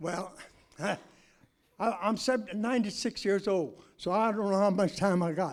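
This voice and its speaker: With an American accent and a high pitch for a man, he talks at a fairly slow pace with ordinary pitch variation and long, frequent pauses. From Kansas City, Missouri. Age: 80s+. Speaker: public commenter. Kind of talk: public comment at hearing. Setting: public budget hearing. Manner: forceful.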